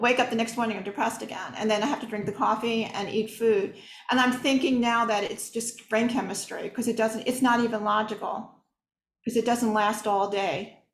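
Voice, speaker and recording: Her delivery runs fairly quick. The woman's tone carries some breathiness. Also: fairly high pitch for a woman, fairly even intonation. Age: 60s. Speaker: audience member. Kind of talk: Q&A question.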